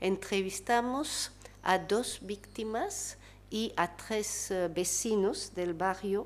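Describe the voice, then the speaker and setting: A woman with a French accent at a very slow pace. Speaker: researcher and panelist. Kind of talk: panel talk. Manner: halting, many fillers.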